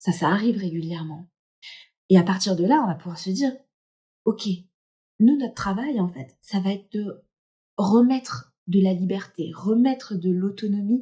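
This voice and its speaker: A woman speaks at a fairly slow pace and medium pitch, somewhat breathy, with a dark, mellow tone, lively intonation, and long, frequent pauses. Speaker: hypnotherapist. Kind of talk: casual talk to camera.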